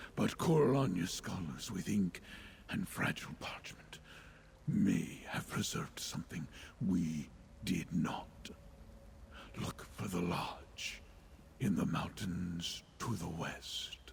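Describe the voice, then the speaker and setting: A man whispers in a put-on character voice with a solemn tone. He speaks at a fairly slow pace with long, frequent pauses. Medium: video game. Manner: solemn, measured.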